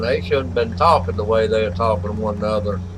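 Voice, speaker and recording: A man with a Southern US accent and fairly low pitch, talking fairly quickly amid noticeable background noise and audible room echo. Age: 60s. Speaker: gaming livestreamer. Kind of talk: live gaming stream chat. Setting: livestream.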